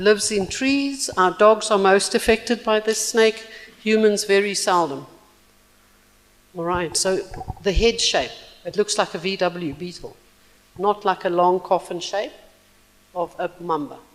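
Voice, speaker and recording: Long, frequent pauses come through over noticeable background noise. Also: fairly slow pace. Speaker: symposium presenter on snakes. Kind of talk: conference presentation. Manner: animated.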